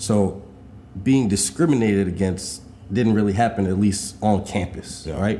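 A man with a New York accent speaks at a moderate pace in a fairly low pitch, his dark, mellow tone carrying ordinary pitch variation over audible room echo. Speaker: podcast co-host. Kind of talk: casual chat.

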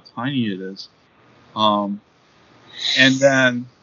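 A man with fairly even intonation and a medium pitch talks through noticeable background noise. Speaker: professor and writer. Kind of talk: casual interview chat.

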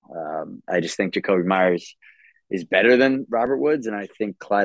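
At a moderate pace, a man with a normal speaking voice talks at a fairly low pitch with ordinary pitch variation. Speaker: guest. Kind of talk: casual chat.

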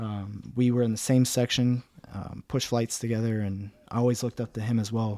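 With a Midwestern American accent, a man speaks at a moderate pace and medium pitch in a dark, mellow tone with monotone, flat intonation, in a very clean recording with a silent background. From Cincinnati, Ohio, US Midwest. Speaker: military training instructor. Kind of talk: interview.

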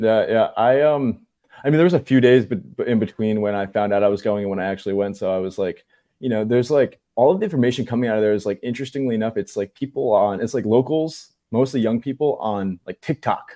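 In a very clean recording with a silent background, a man with an American accent talks at a very fast pace in a dark, mellow tone. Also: medium pitch for a man, ordinary pitch variation. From New Jersey. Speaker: independent journalist. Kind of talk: casual chat.

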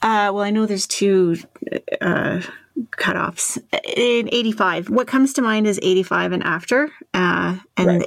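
A woman speaks in a plain, everyday voice with a Canadian accent, at medium pitch with ordinary pitch variation. Her pace is fairly slow. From Toronto area, Canada. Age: 40s. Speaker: podcast host on workplace experience. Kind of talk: podcast interview.

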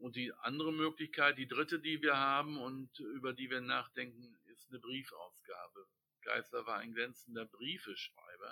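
A man talks in a bright, sharp tone with a fairly high pitch and fairly even intonation. His loudness swings widely. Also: moderate pace. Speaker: book editor and literary society chairman. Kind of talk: interview.

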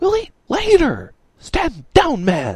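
A man's put-on character voice, whispering and hissing. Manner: hissed, urgent whisper.

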